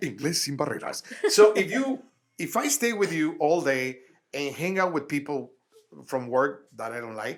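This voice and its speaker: A man with a Spanish accent talks at a moderate pace. His fairly high voice makes very wide pitch swings. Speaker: actor and comedian. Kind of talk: casual chat.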